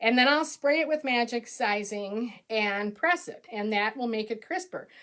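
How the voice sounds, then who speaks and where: Bright and sharp in tone, a woman with an Upper Midwest accent speaks at a fairly slow pace, her fairly high voice carrying lively intonation. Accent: Upper Midwest American. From Minnesota. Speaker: quilt pattern designer. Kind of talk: live-streamed tutorial. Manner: chatty, upbeat.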